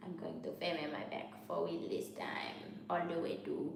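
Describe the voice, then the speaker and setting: Moderate-paced speech in a Haitian accent over noticeable background noise. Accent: Haitian Creole. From New York. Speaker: MBA student vlogger. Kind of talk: casual vlog monologue.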